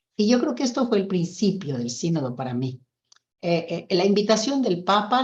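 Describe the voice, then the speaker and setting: A woman's somewhat breathy voice proceeds at a moderate pace. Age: 70s. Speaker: nun. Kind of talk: testimony.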